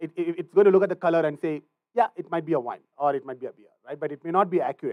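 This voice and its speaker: Speaking at a very fast pace, a man has a high pitch. His loudness swings widely. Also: ordinary pitch variation, dry, close sound with no echo. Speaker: machine learning instructor at recruiting event. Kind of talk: technical lecture / workshop. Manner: frequent fillers, says right a lot.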